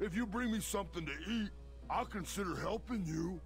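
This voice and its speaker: A man puts on a character voice while music plays clearly behind him. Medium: video game. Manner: theatrical, speaks of himself in third person.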